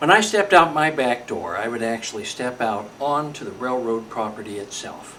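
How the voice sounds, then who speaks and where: Over noticeable background noise, a man with an American accent talks at a moderate pace in a medium pitch. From California, US. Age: 60s. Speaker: model railroader. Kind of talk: scripted narration.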